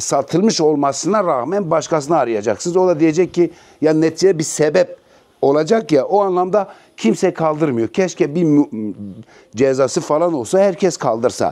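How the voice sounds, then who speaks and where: A man with a fairly high pitch and a dark, mellow tone speaks at a moderate pace with very even loudness. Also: ordinary pitch variation. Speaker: real estate agent. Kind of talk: property tour. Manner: casual, chatty.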